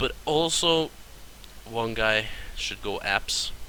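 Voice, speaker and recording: A man's voice against noticeable background noise. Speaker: gaming video creator. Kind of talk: tutorial.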